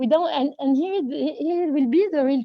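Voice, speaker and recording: A woman speaks with a French accent at a high pitch. Her pitch variation is ordinary. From France. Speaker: participant, company manager. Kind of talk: panel discussion comment. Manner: halting.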